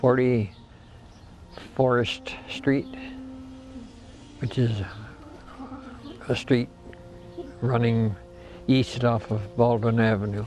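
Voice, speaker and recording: A man with an American accent speaks at medium pitch in a monotone, flat delivery, very slowly and with long, frequent pauses. Music plays in the background. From Michigan, US Midwest. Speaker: elderly interviewee recounting local history. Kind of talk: oral history interview. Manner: halting, many false starts.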